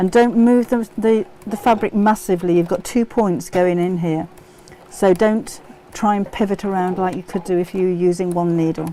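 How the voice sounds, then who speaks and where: A woman with an English accent speaks at a medium pitch and a moderate pace. Her intonation is fairly even, and there is noticeable background noise. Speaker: sewing tutor. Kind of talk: live stream sewing tutorial. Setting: live stream. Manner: casual.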